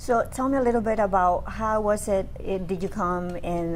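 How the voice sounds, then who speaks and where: Audible room echo surrounds a woman speaking fairly slowly at a medium pitch with a Spanish accent. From Dominican Republic. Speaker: radio host. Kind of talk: interview.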